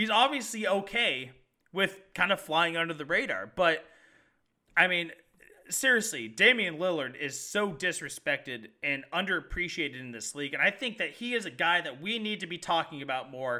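On a very clean recording with silence behind him, a man with a high voice and a bright, sharp tone swings his pitch very widely. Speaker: sports podcast co-host. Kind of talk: sports talk show chat. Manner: animated, passionate, rapid.

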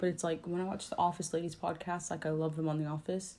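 A woman's fairly low, dark, mellow voice at a fast pace with little pitch movement

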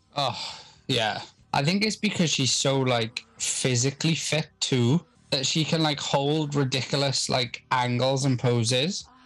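Music plays in the background as a man talks at a fairly high pitch that varies in an ordinary way. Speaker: podcast host. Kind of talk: casual chat, film commentary. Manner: swears casually.

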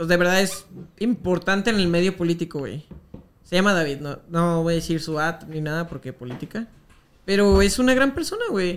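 A man's high-pitched voice moves at a moderate pace while noticeable background noise sits underneath. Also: ordinary pitch variation. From Jalisco, Mexico (Guadalajara). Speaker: meme page creator. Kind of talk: casual chat.

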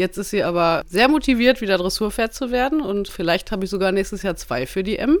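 A woman's unremarkable speaking voice at medium pitch, fairly quick and lively in intonation, in a very clean recording with a silent background. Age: 30s. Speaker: insurance agent and horse rider. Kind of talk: casual interview. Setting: studio, shared handheld mic.

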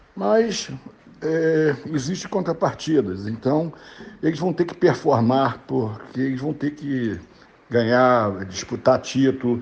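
This man has a plain, everyday voice, speaking fairly slowly at a medium pitch with ordinary pitch variation. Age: 60s. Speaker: club presidential candidate. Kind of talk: interview. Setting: remote call.

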